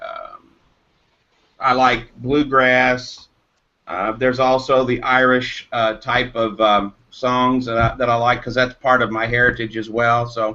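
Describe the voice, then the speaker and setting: Speaking at a fairly slow pace, a man with a medium pitch and a bright, sharp tone keeps a monotone, flat intonation. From Eastern Kentucky. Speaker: caller. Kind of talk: casual chat. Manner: halting, many fillers.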